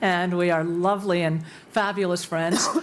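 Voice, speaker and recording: At a moderate pace and medium pitch, a woman speaks in an unremarkable speaking voice. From USA, born in Cuba. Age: 60s. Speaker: university president. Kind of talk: panel discussion.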